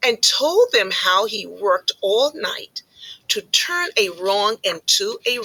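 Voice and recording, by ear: Someone reads aloud. The voice sounds natural.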